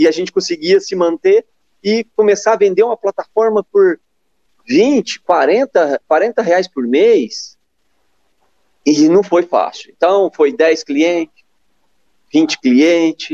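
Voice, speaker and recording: Using lively intonation, a man talks at a high pitch in a dark, mellow tone, at a very slow pace with long, frequent pauses, in a dry, close sound with no echo. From São Paulo state, Brazil. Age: 40s. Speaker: e-commerce company founder. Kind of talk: interview. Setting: live stream.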